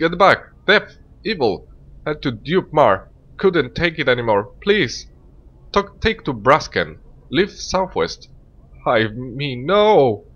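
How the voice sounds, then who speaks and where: A man's shrill, put-on character voice, fairly high in pitch with very wide swings, at a very slow pace broken by long, frequent pauses. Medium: game stream. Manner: irritable, then panicked and shrieking.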